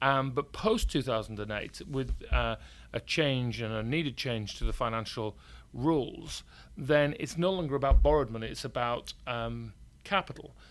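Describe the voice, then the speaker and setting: In a Yorkshire accent, a man speaks at a moderate pace and medium pitch with ordinary pitch variation. The recording is very clean, with a silent background. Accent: northern English (Yorkshire). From Yorkshire, northern England. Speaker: company CEO. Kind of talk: casual interview.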